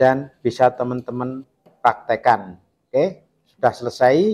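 Speaking at a fairly slow pace with lively intonation, a man has an unremarkable speaking voice. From Indonesia. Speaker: carpenter showing saw sharpening. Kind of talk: tutorial. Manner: casual, repetitive filler phrases. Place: workshop.

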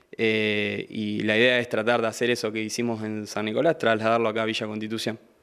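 A man talks at a fairly quick pace in a medium pitch. The background is quiet. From Argentina, Santa Fe province. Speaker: incoming city councillor and sports figure; incoming town councillor. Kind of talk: interview. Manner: hesitant, repeats words. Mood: grateful, upbeat. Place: studio. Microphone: handheld.

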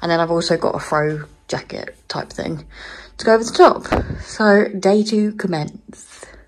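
At a moderate pace and with ordinary pitch variation, a woman speaks over light background noise. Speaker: vlogger. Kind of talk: casual vlog chat. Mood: cheerful, upbeat. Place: home room. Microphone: phone near.

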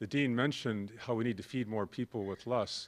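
Moderate pace from a man, quiet background all around. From US Midwest. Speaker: corporate sustainability executive. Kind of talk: conference talk. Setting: stage with audience. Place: hall. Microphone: podium.

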